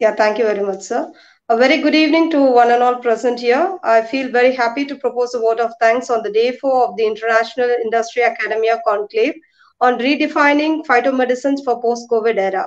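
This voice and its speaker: Against a quiet background, a woman talks with a high pitch. She goes at a very fast pace with ordinary pitch variation. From India. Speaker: research dean. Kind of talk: vote of thanks. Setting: video call. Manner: formal. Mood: polite, formal. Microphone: webcam.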